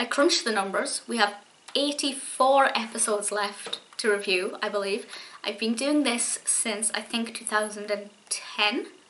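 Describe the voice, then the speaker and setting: Speaking at a very slow pace, a woman uses a fairly high pitch with ordinary pitch variation over light background noise. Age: 20s. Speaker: YouTube TV show reviewer. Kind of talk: solo video review monologue. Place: home room. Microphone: webcam.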